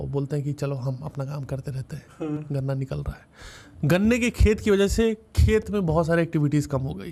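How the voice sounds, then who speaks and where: With a North Indian accent, a man speaks fairly high in pitch with a dark, mellow, somewhat breathy tone, lively intonation, big swings in loudness and hardly any pauses at a moderate pace, on a very clean recording with a silent background. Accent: desi, North Indian. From India, Uttar Pradesh. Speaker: stand-up comedian. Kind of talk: podcast interview answer. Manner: humorous, storytelling.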